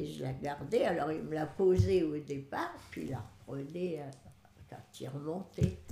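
Background noise is noticeable throughout. The words come out very slowly. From northern France. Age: 80s+. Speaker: great-grandmother. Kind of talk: life story interview.

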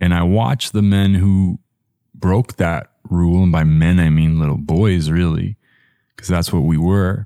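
A man speaks very deep and low with a dark, mellow tone, fairly slowly, with fairly even intonation and very even loudness. The sound is dry and close with no echo, in a very clean recording with a silent background. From Toronto, Canada. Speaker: podcast host. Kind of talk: personal storytelling monologue.

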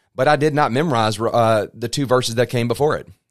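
Over a silent background in a very clean recording, a man speaks with a plain, everyday voice. His pitch is medium and his pace fairly quick. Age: 40s. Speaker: pastor. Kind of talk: bible teaching.

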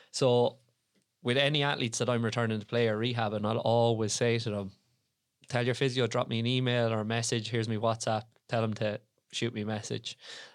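In an Irish Midlands accent, a man talks at a fairly quick pace and medium pitch with monotone, flat intonation. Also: very clean recording, silent background. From Ireland, Tipperary. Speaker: podcast host, strength and conditioning coach. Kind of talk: casual chat.

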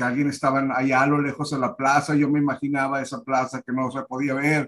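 A man's fairly high voice at a moderate pace, an ordinary speaking voice. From Monterrey, Nuevo León, Mexico. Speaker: theatre director. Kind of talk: interview.

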